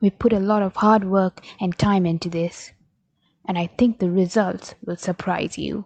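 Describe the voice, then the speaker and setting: A woman's ordinary speaking voice at a medium pitch, with fairly even intonation and a fairly slow pace. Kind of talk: comedic mockumentary narration.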